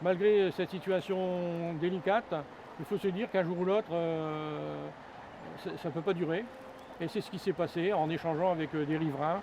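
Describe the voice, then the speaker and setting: A man with a high pitch speaks at a moderate pace and fairly even intonation, leaving long, frequent pauses. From northern France, Pas-de-Calais. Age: 60s. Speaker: homeless man. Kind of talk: interview testimony. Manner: halting, many hesitations.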